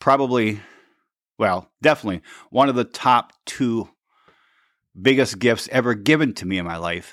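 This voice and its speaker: A man at medium pitch speaks at a moderate pace with ordinary pitch variation and long, frequent pauses. His loudness swings widely on a very clean recording with a silent background. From Michigan. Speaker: podcast host and performance coach. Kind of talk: casual interview chat. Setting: studio, sitting next to guest. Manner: animated.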